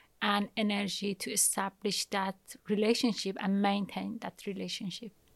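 The speaker has a Persian accent and a monotone, flat intonation. The recording is very clean with a silent background, dry and close with no echo. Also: woman. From Iran. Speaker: materials scientist. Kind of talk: interview.

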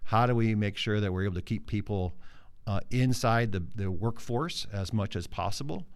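Audible room echo surrounds a man's fairly low voice with ordinary pitch variation. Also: moderate pace. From South Dakota, Mitchell. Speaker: business association executive. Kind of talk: interview.

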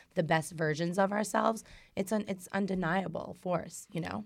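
An unremarkable speaking voice from a woman with an American accent, medium in pitch, fairly quick and fairly even in intonation, on a very clean recording with a silent background. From New York. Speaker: makeup artist and author. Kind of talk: casual chat.

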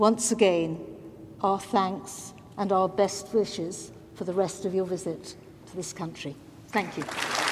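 A woman speaks at a fairly slow pace with fairly even intonation and long, frequent pauses, with noticeable background noise present. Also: medium pitch for a woman. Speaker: Lord Speaker giving vote of thanks. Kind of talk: formal vote of thanks.

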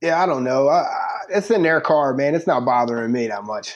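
A man with a fairly high pitch, a normal speaking voice and an American accent, at a moderate pace with lively intonation. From US Northeast, Philadelphia. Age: 40s. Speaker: recruiting site editor and prosecutor. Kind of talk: casual chat.

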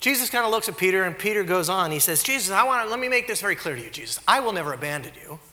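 A man's raised, projected voice amid audible room echo and noticeable background noise. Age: 40s. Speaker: pastor. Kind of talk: sermon.

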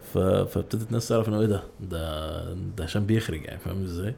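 At a fairly quick pace, a man with a fairly low pitch and a dark, mellow, somewhat breathy tone speaks with ordinary pitch variation. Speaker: YouTuber and ad director. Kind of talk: casual chat. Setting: podcast studio.

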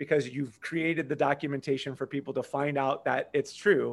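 At a moderate pace, a man talks in a fairly high pitch with ordinary pitch variation, a normal speaking voice. The recording is very clean, with a silent background. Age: 50s. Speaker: marketing entrepreneur. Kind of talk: podcast interview.

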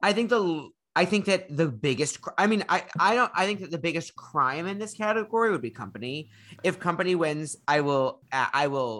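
A man with an American accent, high-pitched and bright, sharp in tone, lively intonation at a moderate pace, on a very clean recording with a silent background. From Chicago. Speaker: podcast panelist. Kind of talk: casual chat.

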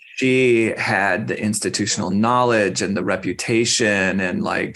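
A man speaks in an ordinary speaking voice with an American accent. His pitch is fairly low with ordinary variation, and his pace is fairly slow. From Arizona, Phoenix. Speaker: school garden program director. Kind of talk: interview.

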